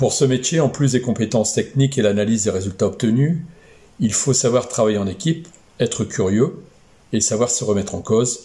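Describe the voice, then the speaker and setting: Somewhat breathy and dark, mellow in tone, a man talks at a fairly quick pace with ordinary pitch variation. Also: medium pitch for a man. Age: 60s. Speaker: aeronautical engineer. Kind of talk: career testimony. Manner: hesitant, many fillers.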